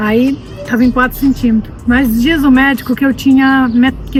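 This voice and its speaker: A woman with a high pitch speaks at a moderate pace. There is noticeable background noise. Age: 60s. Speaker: cancer survivor giving testimony. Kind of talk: testimony. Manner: halting, repeats words.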